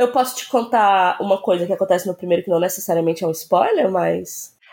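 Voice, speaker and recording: A woman speaks very fast. She hardly pauses at all. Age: 30s. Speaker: podcast guest recommending a TV series. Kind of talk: casual chat.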